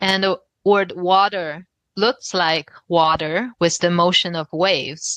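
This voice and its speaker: A woman with a Chinese accent, fairly low in pitch, very slow, with fairly even intonation and a dry, close sound with no echo. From China, Shanghai. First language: Mandarin Chinese. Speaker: novelist. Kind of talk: interview. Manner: thoughtful, with fillers.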